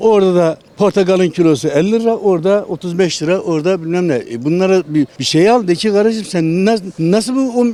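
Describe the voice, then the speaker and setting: Over noticeable background noise, a man speaks at a moderate pace. His pitch is high, and his intonation is lively. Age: 70s. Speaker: retiree, street interview interviewee. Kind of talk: street interview. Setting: outdoors, street.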